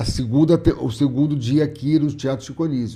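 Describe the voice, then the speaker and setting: At a moderate pace, a man speaks with a fairly high pitch, a somewhat breathy quality and a dark, mellow tone. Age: 60s. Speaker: comedian. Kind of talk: casual interview chat.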